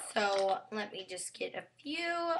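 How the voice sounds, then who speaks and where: Noticeable background noise fills the recording. Through it, a woman can be heard talking. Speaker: beauty vlogger. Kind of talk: tutorial. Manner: casual, rambling filler words.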